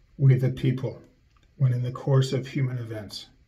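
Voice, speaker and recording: A man talks at a moderate pace, his voice somewhat breathy with a dark, mellow tone. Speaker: conceptual artist. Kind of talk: spoken word art reading. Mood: solemn, ironic declamation. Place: studio. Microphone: webcam.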